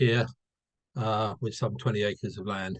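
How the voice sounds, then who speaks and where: A man with a British accent and a medium-pitched voice. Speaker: rural enterprise hub worker. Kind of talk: casual introduction on video call.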